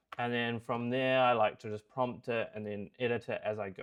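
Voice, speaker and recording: Here a man speaks with a New Zealand accent. His pitch is medium and his pace moderate. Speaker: software developer. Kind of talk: product review tutorial.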